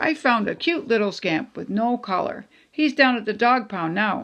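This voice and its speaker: A woman uses a put-on character voice with lively intonation. The background is quiet. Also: fairly high pitch for a woman, moderate pace. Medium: read story.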